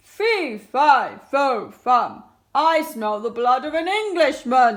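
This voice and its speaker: In a put-on character voice, a woman shouts at a high pitch and a very slow pace. The recording is very clean, with a silent background. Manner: bellowing, shouting.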